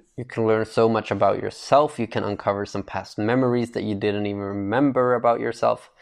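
In a plain, everyday voice, a man of medium pitch speaks at a fairly quick pace with fairly even intonation and hardly any pauses. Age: 20s. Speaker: podcast host. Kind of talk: casual solo monologue.

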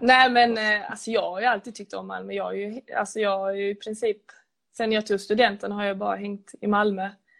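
Her loudness swings widely while this medium-pitched woman holds a moderate pace in a monotone, flat intonation. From Skåne, Sweden. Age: 20s. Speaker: footballer. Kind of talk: casual interview.

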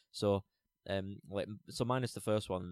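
Recorded with a dry, close sound and no echo, a man uses a normal speaking voice with a fairly low pitch and fairly even intonation. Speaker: podcast co-host. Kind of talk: casual chat.

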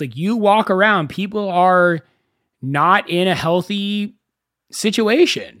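The pace is fairly slow and the pitch variation ordinary. The recording is very clean, with a silent background. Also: man. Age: 30s. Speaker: podcast host. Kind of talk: solo podcast monologue.

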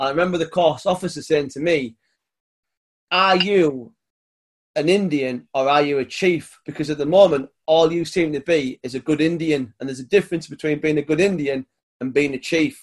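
A man with a British accent speaks at a moderate pace. His pitch is fairly high, with ordinary pitch variation. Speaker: podcast host. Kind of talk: casual interview chat.

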